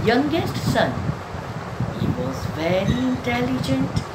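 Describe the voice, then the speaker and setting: A woman talks over loud background noise. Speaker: storyteller. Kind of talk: storytelling. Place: home room.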